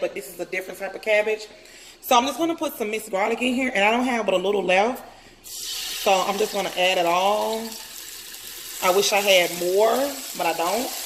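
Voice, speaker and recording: A woman speaks at a fairly quick pace, at medium pitch with ordinary pitch variation. There is noticeable background noise. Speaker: lifestyle vlogger. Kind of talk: cooking tutorial vlog. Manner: loud; casual.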